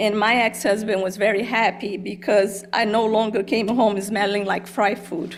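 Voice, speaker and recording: A woman with a Brazilian Portuguese accent speaks at a moderate pace and medium pitch, in monotone, flat intonation with hardly any pauses. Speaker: college dean. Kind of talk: personal testimony speech. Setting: board meeting, hybrid in-person and Zoom.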